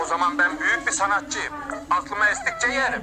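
Putting on a character voice, a man talks at a fairly quick pace with a high pitch, lively intonation and a bright, sharp tone.

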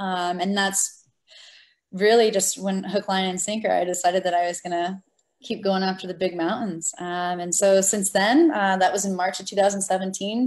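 A woman's normal speaking voice in an American accent, medium in pitch, at a moderate pace with fairly even intonation over a quiet background. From Florida. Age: 20s. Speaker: military veteran and adaptive athlete. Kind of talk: interview. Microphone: video call.

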